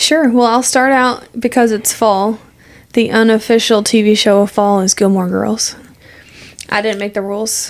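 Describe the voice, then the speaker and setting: Fairly even in intonation, a woman speaks at a fairly high pitch. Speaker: podcast co-host. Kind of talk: casual chat. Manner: fast.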